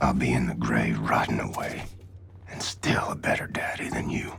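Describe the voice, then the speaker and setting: In a cartoonish character voice, a man whispers raspily at a moderate pace. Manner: low, grim.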